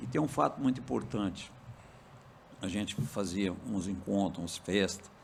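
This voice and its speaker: Talking at a moderate pace, a man is heard with audible room echo. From Minas Gerais, Brazil. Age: 70s. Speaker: farmer and cooperative president. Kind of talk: podcast interview.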